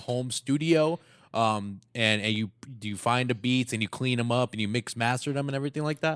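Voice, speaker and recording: In a very clean recording with a silent background and a dry, close sound with no echo, a man with a normal speaking voice, medium pitch and ordinary pitch variation speaks at a fairly quick pace. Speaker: podcast host. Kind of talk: podcast conversation.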